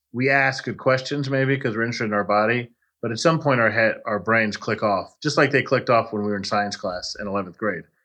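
Very fast, hardly-any-pauses delivery from a man with an American accent, medium in pitch with ordinary pitch variation and a bright, sharp tone, over a quiet background. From Texas. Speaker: personal injury lawyer. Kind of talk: casual interview.

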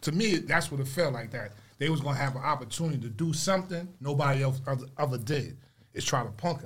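At a very fast pace, a somewhat breathy man with fairly high pitch speaks with ordinary pitch variation. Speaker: guest's friend. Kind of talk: casual chat.

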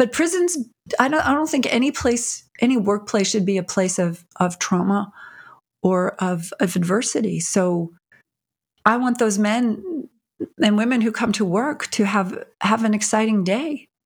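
A woman speaks at a fairly slow pace with a fairly high, somewhat breathy voice and lively intonation. Her loudness stays very even in a very clean recording with a silent background. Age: 60s. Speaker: prison reform advocate and filmmaker. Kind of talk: interview.

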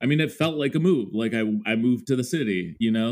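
A man with an American accent talks at a medium pitch. He has a plain, everyday voice. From Minnesota, US Upper Midwest (Mendota Heights suburb). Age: 30s. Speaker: music creator. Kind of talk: casual interview chat.

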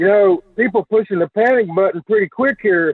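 Speaking at a moderate pace, a man with a Southern US accent uses a high voice with ordinary pitch variation. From Alabama. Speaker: caller. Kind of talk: call-in radio chat. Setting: phone call.

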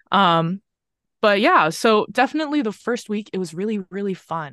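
A woman with a plain, everyday voice, lively intonation and a fairly quick pace against a quiet background. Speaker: recent college graduate. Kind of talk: casual chat. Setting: video call.

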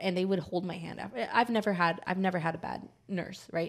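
Very fast and animated, a woman talks at a fairly low pitch. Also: very clean recording, silent background. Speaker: podcast co-host. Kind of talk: casual chat. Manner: animated, laughs often.

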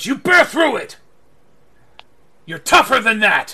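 Putting on a character voice, a man speaks at an extremely high pitch with very wide pitch swings. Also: fairly slow pace. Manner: gruff, shouted encouragement.

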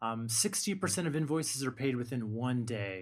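The recording is very clean, with a silent background. A man talks at a moderate pace in a normal speaking voice, using ordinary pitch variation. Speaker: podcast host. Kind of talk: casual chat.

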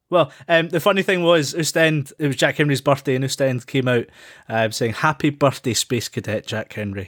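This man has a Scottish accent, a fairly high pitch and lively intonation, speaking at a moderate pace in a very clean, dry, close recording with a silent background and no echo. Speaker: football podcast host. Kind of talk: casual chat.

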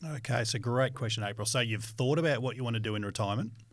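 A man with an Australian accent talks at a very fast pace and a medium pitch. His voice is somewhat breathy, with fairly even intonation. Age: 40s. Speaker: financial educator. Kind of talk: educational podcast chat.

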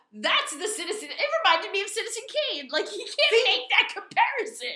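A raised, projected voice with an American accent goes at a fairly quick pace, with very wide pitch swings and big swings in loudness, amid audible room echo and noticeable background noise. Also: woman. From Hudson County, New Jersey. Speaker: horror podcast co-host. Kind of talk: casual chat. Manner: laughs often.

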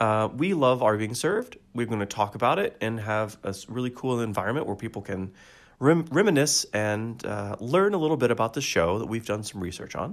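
A man with an ordinary speaking voice talks at a medium pitch, at a fairly quick pace and with lively intonation. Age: 40s. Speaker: podcast co-host. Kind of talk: tutorial; casual chat. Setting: video call.

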